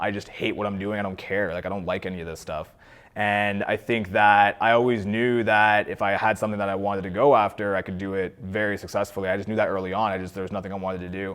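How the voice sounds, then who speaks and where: Very fast and flat in intonation, a man with a Canadian accent talks at a fairly low pitch. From Ontario, Canada (Cornwall). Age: 20s. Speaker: entrepreneur. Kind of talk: interview. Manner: casual, conversational.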